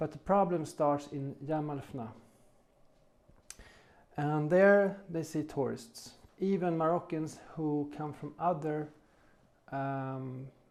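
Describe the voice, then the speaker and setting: A man's fairly high voice at a very slow pace, with fairly even intonation and long, frequent pauses. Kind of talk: casual talk to camera. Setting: studio.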